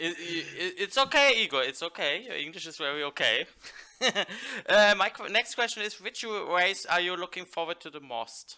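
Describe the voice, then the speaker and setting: Speaking with a German accent at a moderate pace, a man uses a high, bright, sharp voice with lively intonation and big swings in loudness. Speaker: talk show host. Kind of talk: interview.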